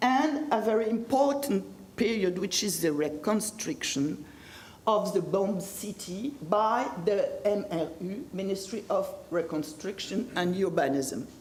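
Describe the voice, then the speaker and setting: In a French accent, a woman speaks at a very slow pace with a medium pitch and lively intonation. Audible room echo and noticeable background noise surround her. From France. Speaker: history professor. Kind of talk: lecture. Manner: halting.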